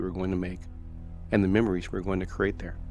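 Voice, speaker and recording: Over background music, a man talks at a very fast pace. His voice is fairly low in pitch, with monotone, flat intonation. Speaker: paranormal story narrator. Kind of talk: first-person retelling of another man's story.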